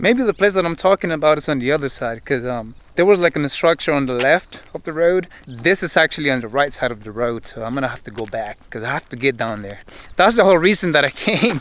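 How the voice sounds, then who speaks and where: A man talks at a very fast pace with hardly any pauses, his pitch swinging very widely and his loudness rising and falling sharply, in a dry sound with no echo. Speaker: explorer vlogger. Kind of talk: casual vlog chat. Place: open country. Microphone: phone near.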